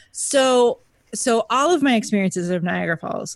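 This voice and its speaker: A normal speaking voice, a woman with an American accent, fairly slow and with lively intonation. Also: dry, close sound with no echo, quiet background. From Texas. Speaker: history podcast co-host. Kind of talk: casual chat; scripted narration.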